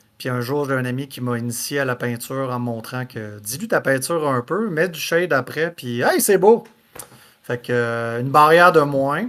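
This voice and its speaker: This man speaks with a Quebec accent, a medium pitch, lively intonation and a moderate pace. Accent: Québécois French. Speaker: podcast host. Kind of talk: casual podcast talk.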